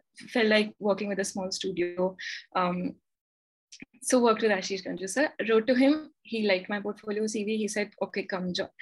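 A woman with a somewhat breathy voice talks at a moderate pace, her medium pitch showing ordinary variation. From India, Delhi and Gurgaon. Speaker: architect. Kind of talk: interview conversation. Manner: hesitant, many fillers.

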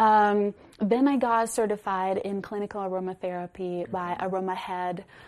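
In a normal speaking voice, a woman talks at a moderate pace with medium pitch and fairly even intonation against a quiet background. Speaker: alternative medicine and meditation practitioner. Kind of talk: interview about wellness. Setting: her own wellness studio.

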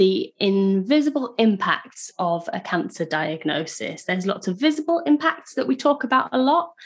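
The speaker talks at a fairly slow pace. Their pitch swings very widely. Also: woman. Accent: British. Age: 30s. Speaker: podcast host. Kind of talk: casual chat; scripted narration. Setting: video call.

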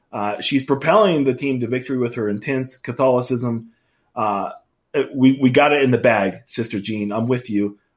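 On a very clean recording with a silent background, a man with a plain, everyday voice speaks at a moderate pace in a medium pitch with ordinary pitch variation. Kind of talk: casual banter.

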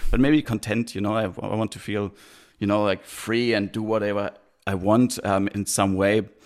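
A German accent with monotone, flat intonation. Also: man, fairly low pitch for a man, moderate pace. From Germany, near Heidelberg. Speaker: traveller and podcaster. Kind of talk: interview. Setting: video call. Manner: halting, many fillers.

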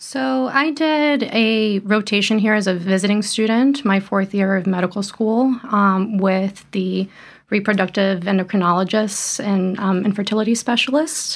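A plain, everyday voice from a woman with an American accent, medium pitch and ordinary pitch variation, moderate pace, hardly any pauses, very even loudness, on a very clean recording with a silent background. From Brazil, then Florida from age twelve. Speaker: medical intern in obstetrics and gynecology. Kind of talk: casual interview.

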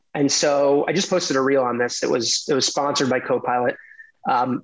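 A man with an American accent and a normal speaking voice talks at a fairly quick pace in a fairly high pitch. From New York City. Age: 30s. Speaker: former lawyer turned tech executive. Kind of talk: podcast interview.

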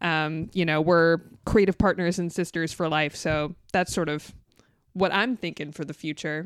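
A woman in an American accent uses a normal speaking voice, fairly low in pitch, at a moderate pace with fairly even intonation. The recording is very clean, with a silent background. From US West Coast, Southern California (San Fernando Valley). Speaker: podcast co-host and writer. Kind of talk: casual interview.

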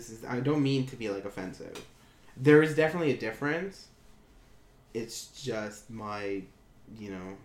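Speaking with a Canadian accent at a medium pitch, a man moves at a moderate pace with lively intonation, big swings in loudness, and long, frequent pauses, while audible room echo surrounds him. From Ontario, Canada. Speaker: podcast co-host. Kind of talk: casual chat. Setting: home computer room.

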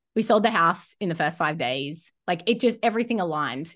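In an Australian accent, a woman speaks at a fairly quick pace with lively intonation and a bright, sharp tone over a quiet background. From Australia, Rockhampton, Queensland. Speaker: business coach. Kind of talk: interview.

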